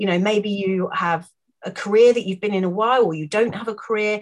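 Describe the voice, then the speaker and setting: A woman with a British accent speaks fairly quickly in a fairly high voice with ordinary pitch variation. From UK. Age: 40s. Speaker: wellness coach. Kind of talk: casual chat. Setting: office with dogs in background.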